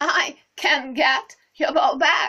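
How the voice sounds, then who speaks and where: Here a woman puts on a character voice. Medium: read story.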